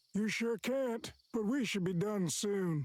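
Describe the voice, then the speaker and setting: A put-on character voice with a fairly high pitch moves along at a fairly slow pace. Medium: video game. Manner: casual, blunt.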